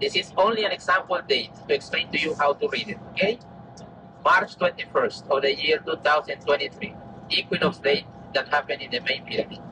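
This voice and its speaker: A man's speech comes at a fairly quick pace against noticeable background noise. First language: Maya. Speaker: tour guide. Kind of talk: guided tour explanation.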